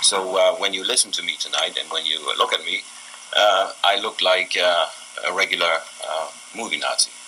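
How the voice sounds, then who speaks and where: A man keeps a moderate pace as noticeable background noise is heard behind him. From Germany. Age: 70s. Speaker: speaker on family history. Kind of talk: testimony. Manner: halting.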